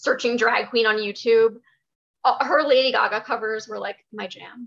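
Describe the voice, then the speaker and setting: Here a woman talks in a fairly high pitch. She keeps a fairly slow pace and fairly even intonation. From New Jersey. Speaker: drag artist. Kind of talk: casual interview chat.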